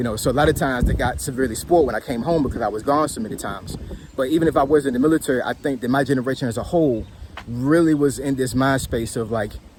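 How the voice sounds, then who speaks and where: A man's medium-pitched voice with ordinary pitch variation, against noticeable background noise. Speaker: military veteran and commentator. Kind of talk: casual monologue. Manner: halting, repetitive.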